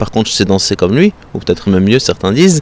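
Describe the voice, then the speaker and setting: With a slight southern French accent, a man speaks over noticeable background noise. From southern France. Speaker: European affairs consultant. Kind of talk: interview. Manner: halting.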